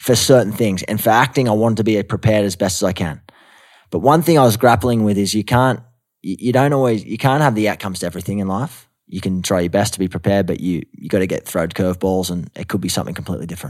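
A man with a strong Australian accent, fairly low-pitched, at a very fast pace with ordinary pitch variation, on a very clean recording with a silent background. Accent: thick Australian. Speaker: actor and mental health advocate. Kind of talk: casual interview chat. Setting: studio recording in Los Angeles.

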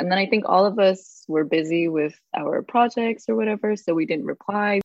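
A woman with a plain, everyday voice speaks at medium pitch and a moderate pace, with lively intonation. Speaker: high school teacher. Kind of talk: casual chat.

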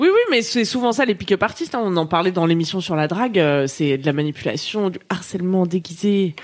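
Her tone is animated, and the woman speaks at a fairly quick pace with lively intonation. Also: medium pitch for a woman. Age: 30s. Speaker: podcast co-host. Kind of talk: casual chat. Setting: live stream.

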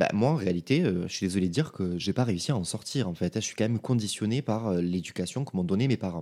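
A man with a fairly low pitch and a dark, mellow tone speaks at a very fast pace with lively intonation, on a very clean recording with a silent background. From France (provinces). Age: 20s. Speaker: podcaster. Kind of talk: solo podcast monologue. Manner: casual, informal.

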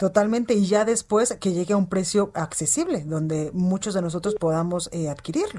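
With hardly any pauses, a woman talks at a moderate pace in a medium pitch, with ordinary pitch variation and a dark, mellow tone. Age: 30s. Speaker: news anchor. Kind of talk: news broadcast.

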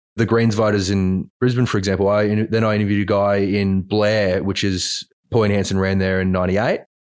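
A man with an Australian accent and fairly low pitch, fairly quick with hardly any pauses, in a monotone, flat intonation at very even loudness. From country Queensland, Australia. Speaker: journalist. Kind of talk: casual chat.

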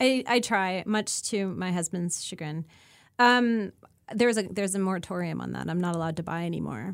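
A woman with a Canadian accent speaks in an ordinary speaking voice at a medium pitch, with ordinary pitch variation and a fairly quick pace. The recording is very clean, with a silent background. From Canada, rural Ontario. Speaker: disinformation researcher. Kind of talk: interview.

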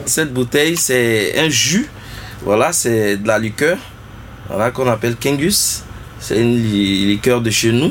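Very slow delivery with long, frequent pauses, lively intonation, very even loudness and noticeable background noise. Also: man, medium pitch for a man. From Côte d'Ivoire, Tabou (south-west). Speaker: musician and arranger. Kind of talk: interview.

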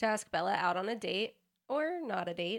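Here is a normal speaking voice. It moves at a moderate pace on a very clean recording, with a silent background. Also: woman. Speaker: podcast co-host. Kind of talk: casual chat.

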